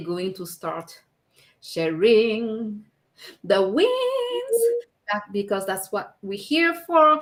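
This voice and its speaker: The voice is bright and sharp, with a strong French accent. Speech comes at a very slow pace with lively intonation. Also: woman. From France. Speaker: live show co-host and business owner. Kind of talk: casual live chat.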